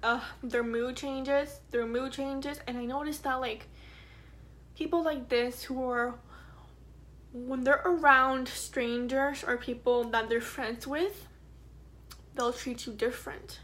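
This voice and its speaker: Speaking at a high pitch with ordinary variation, a woman moves at a fairly slow pace with long, frequent pauses, and audible room echo surrounds her voice. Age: 20s. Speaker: vlogger. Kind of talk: personal testimony. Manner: halting.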